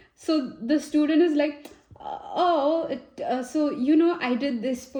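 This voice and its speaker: A woman with an Indian accent speaks in a dark, mellow tone. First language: Hindi. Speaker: tarot reader. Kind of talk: tarot reading. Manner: casual and chatty with fillers.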